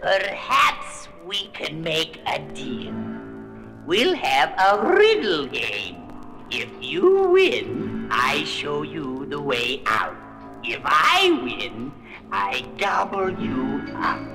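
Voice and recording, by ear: Using a put-on character voice, a man speaks at a very slow pace. Hissing and clear background music are present.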